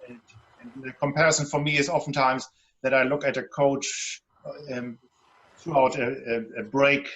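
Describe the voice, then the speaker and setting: A man's medium-pitched voice with a German accent. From Germany, Hamburg. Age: 50s. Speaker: relationship guide and author. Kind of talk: panel discussion.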